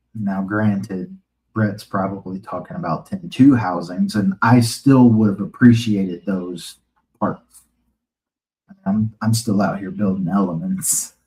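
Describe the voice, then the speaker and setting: A man speaks in a dark, mellow tone. His pace is fairly slow. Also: fairly low pitch for a man, ordinary pitch variation. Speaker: RC hobby YouTuber. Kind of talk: live stream chat. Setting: live stream.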